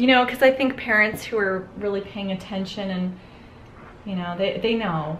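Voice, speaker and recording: With an unremarkable speaking voice, a woman talks at a moderate pace in a medium pitch with ordinary pitch variation over light background noise. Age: 40s. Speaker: makeup artist and educator; educator. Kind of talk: tutorial; casual chat. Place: home room.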